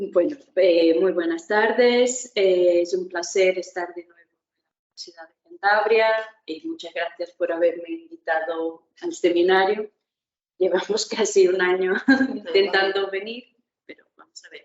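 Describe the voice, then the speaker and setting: A woman with a Portuguese accent talks at a fairly slow pace, her pitch medium. Her loudness swings widely while her pitch varies in an ordinary way. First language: Portuguese (speaking Spanish). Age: young. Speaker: historian, university lecturer. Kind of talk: academic lecture.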